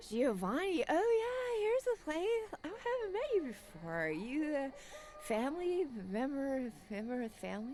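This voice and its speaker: A woman does a put-on character voice at a high pitch with very wide pitch swings. Clear background noise is present. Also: moderate pace. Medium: game stream. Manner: rambling, giggly.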